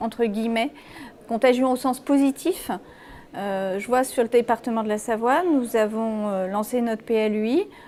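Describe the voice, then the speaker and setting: With a dark, mellow tone, a woman speaks fairly slowly at a high pitch with lively intonation. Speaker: local politician. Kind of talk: interview answer.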